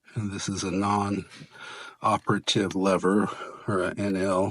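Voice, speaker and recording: A man speaks at a fairly slow pace with a fairly low pitch. His intonation is monotone and flat. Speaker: door hardware installer. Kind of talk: tutorial. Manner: casual, self-talking.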